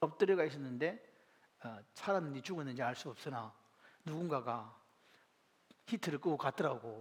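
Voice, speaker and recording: A man's fairly high voice, lively in intonation, broken by long, frequent pauses. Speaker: pastor. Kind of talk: bible class teaching. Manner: fast.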